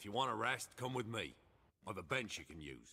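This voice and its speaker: A put-on character voice from a man, raspy and at a medium pitch, with lively intonation, big swings in loudness and a fairly quick pace. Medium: video game. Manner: plainspoken, guarded.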